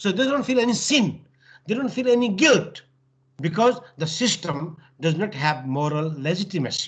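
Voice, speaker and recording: With a Nepali accent, a man speaks at a moderate pace in a high-pitched voice with very wide pitch swings. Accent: South Asian (Nepali) English. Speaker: professor, lecturer. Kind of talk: lecture.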